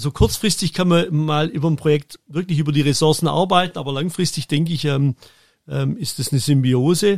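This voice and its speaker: A man's fairly high voice at a fairly quick pace, with ordinary pitch variation and a dry, close sound with no echo. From Germany. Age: 50s. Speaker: football event production manager. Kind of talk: interview. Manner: halting, many fillers.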